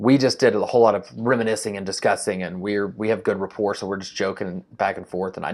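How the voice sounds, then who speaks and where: At a very fast pace with hardly any pauses, a man speaks in a fairly low pitch. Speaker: real estate entrepreneur vlogger. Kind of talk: casual vlog. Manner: animated.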